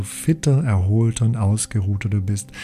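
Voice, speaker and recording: Over noticeable background noise, a man with a fairly low pitch talks at a fairly slow pace in a soothing, calm tone. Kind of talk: guided meditation. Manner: slow, soothing, calm and gentle with long pauses; soft, hypnotic, repetitive phrasing.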